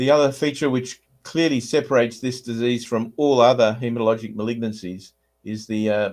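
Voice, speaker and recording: A man with an Australian accent speaks at a medium pitch and a fairly quick pace. His intonation stays fairly even. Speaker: hematologist. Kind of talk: lecture. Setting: video call. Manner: hesitant, frequent uh fillers.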